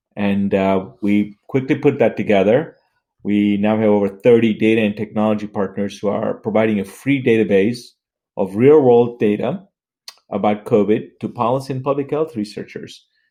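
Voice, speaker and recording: With an unremarkable speaking voice, a man talks at a moderate pace in a fairly low pitch with ordinary pitch variation. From US South (Atlanta), born in Tanzania. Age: 60s. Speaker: healthcare tech entrepreneur. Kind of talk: interview conversation.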